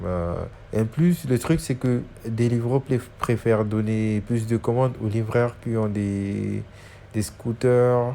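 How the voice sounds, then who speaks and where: This is a man's voice at a medium pitch. He talks very slowly. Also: ordinary pitch variation. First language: Dutch (speaking French). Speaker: YouTuber giving delivery job tips. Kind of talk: tutorial. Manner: halting, many hesitations and repetitions.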